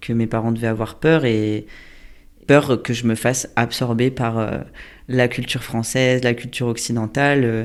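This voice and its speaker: A man talks at a fairly slow pace in a monotone, flat way. The recording is very clean, with a silent background. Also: medium pitch for a man. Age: 30s. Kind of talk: interview answer. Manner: casual, hesitant.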